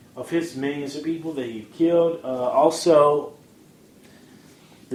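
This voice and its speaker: A man's fairly high, monotone voice with flat intonation and audible room echo. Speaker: podcast host. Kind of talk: casual audio blog commentary. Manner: halting, frequent fillers and restarts.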